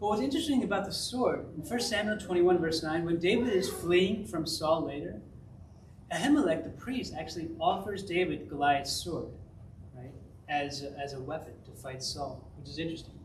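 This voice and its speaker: A man speaks high with lively intonation. Noticeable background noise and audible room echo surround him. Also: big swings in loudness. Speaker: pastor. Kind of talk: sermon. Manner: fast.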